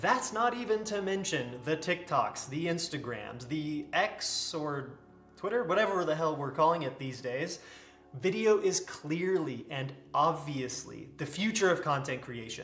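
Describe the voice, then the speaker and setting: A man talks at a moderate pace. The room echo is audible, and faint music plays in the background. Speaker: content creator. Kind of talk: casual vlog chat. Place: home room.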